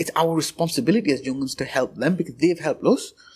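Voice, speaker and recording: Lively intonation runs through this man's speech. He talks at a very fast pace. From northern England, Sunderland. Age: 20s. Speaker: interviewee in oral history project. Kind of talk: oral history interview. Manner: casual, frequent fillers and restarts.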